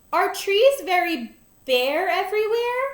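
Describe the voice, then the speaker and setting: A woman uses a put-on character voice, squeaky and extremely high in pitch. She goes at a fairly slow pace. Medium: read story. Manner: soft, wondering.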